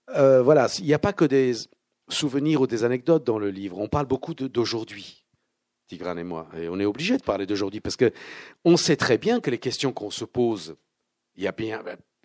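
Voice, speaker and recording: A man with an unremarkable speaking voice at medium pitch, lively intonation and moderate pace, in a very clean recording with a silent background and a dry, close sound with no echo. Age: 60s. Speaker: actor and filmmaker. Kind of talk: book talk with audience. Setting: bookshop event with audience.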